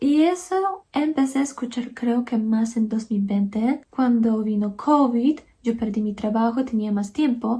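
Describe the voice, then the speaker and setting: This is a woman with a Polish accent. Her pitch is fairly high. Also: ordinary pitch variation, fairly slow pace, hardly any pauses. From Poland. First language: Polish (speaking Spanish). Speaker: YouTuber, language learner. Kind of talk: casual personal account to camera.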